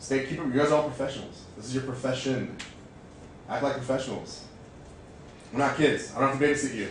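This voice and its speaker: A man with an American accent speaks at a very fast pace yet with long, frequent pauses, amid audible room echo and noticeable background noise. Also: medium pitch for a man. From California, Bay Area. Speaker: fitness manager. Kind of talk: motivational staff presentation. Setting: staff meeting. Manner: animated.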